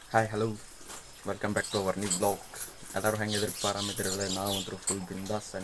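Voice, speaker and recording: A man talks at a fairly low pitch. Noticeable background noise sits behind him. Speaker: vlogger, college student. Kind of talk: casual vlog talk. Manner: animated.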